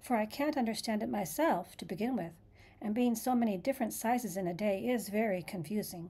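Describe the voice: The pitch moves by a normal amount in this plain reading aloud.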